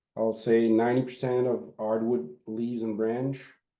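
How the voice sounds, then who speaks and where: Speaking with a non-native accent, a man goes at a fairly slow pace with fairly even intonation and medium pitch. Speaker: forestry operations manager. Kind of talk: webinar Q&A. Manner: halting.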